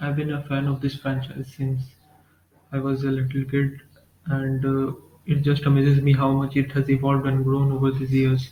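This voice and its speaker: A man speaks at a moderate pace with monotone, flat intonation and a fairly high pitch. His voice is somewhat breathy, with a dark, mellow tone. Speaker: Pokemon fan video narrator. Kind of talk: casual talk to camera. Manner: hesitant, stuttering.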